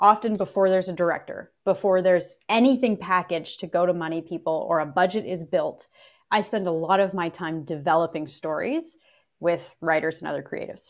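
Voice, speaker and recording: A woman with a Canadian accent and an unremarkable speaking voice, medium in pitch, with ordinary pitch variation and a fairly quick pace, on a very clean recording with a silent background. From Canada, Kingston, Ontario. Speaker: actor and film producer. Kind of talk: casual interview.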